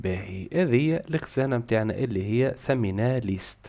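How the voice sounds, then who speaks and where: Speaking at a moderate pace, a man with a Tunisian accent talks at a medium pitch. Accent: Tunisian Arabic with French code-switching. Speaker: programming teacher. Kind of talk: casual tutorial talk to camera.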